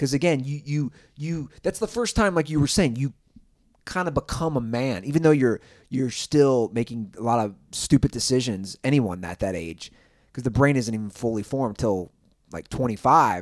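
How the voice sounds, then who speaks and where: On a very clean recording with a silent background, a man with a plain, everyday voice speaks at a medium pitch and a moderate pace with lively intonation. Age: 30s. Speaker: podcast host. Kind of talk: casual chat. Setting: Airbnb rental.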